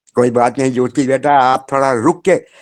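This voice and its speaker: A man with a plain, everyday voice speaks at a medium pitch in a dry, close sound with no echo. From Madhya Pradesh, India. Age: 60s. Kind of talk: testimony. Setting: remote call from home.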